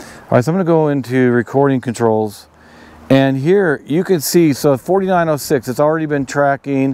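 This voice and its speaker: A man speaks at a moderate pace with ordinary pitch variation and a dark, mellow tone. The sound is dry, with no echo. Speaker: outdoor gear reviewer. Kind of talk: tutorial. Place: open country. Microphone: lapel.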